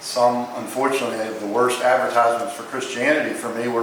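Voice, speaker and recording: With audible room echo and noticeable background noise, a man talks at a fairly quick pace and a medium pitch. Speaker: chiropractor. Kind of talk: memorial eulogy. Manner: loud.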